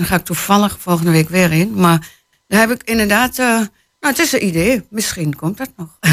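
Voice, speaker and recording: A woman with a Twente accent speaks with ordinary pitch variation on a very clean recording with a silent background. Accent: Twente accent, still noticeable. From Hengelo, Twente (eastern Netherlands). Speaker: novelist. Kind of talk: interview. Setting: radio studio.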